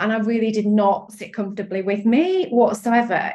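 A woman with a British accent talks at a moderate pace in a fairly high voice. Her tone is animated and enthusiastic, and somewhat breathy. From UK. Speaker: sales and strategy coach. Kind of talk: interview chat. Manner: animated, enthusiastic.

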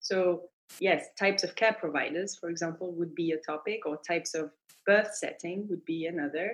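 A woman with a French accent speaks at a moderate pace in a fairly low voice, her intonation fairly even. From France. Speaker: midwife. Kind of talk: interview.

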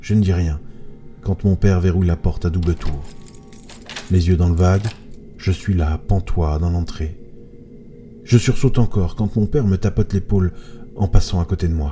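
Over music in the background, a man with a very deep, low pitch and ordinary pitch variation speaks with long, frequent pauses. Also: moderate pace. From France, Moselle (eastern France). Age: 30s. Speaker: horror podcast narrator. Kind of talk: scripted horror narration.

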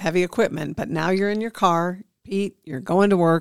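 A woman with an American accent speaks in an unremarkable speaking voice at a medium pitch and moderate pace. Her pitch varies in an ordinary way, and the sound is dry and close with no echo. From US Midwest (Illinois). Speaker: podcast co-host, county communications staff. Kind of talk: casual chat.

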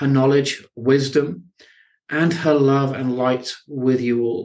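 A man with an unremarkable speaking voice talks at a fairly high pitch and a fairly slow pace. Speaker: podcast host. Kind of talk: interview, warm and inspirational.

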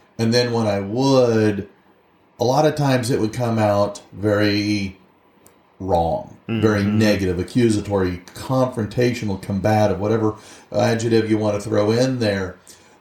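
Here a man talks at a moderate pace. His pitch sits fairly low. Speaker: podcast co-host. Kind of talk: casual chat. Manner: loud, excitable delivery.

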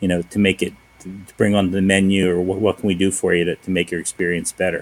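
Speaking very fast, a man talks with an American accent. His pitch is fairly low. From US Northeast, Philadelphia. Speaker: restaurant owner. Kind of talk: casual interview.

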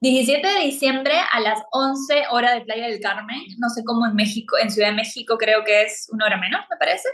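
A woman with a fairly high pitch uses an ordinary speaking voice, speaking at a moderate pace with ordinary pitch variation and hardly any pauses. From Peru. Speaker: spiritual coach and astrologer. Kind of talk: podcast interview.

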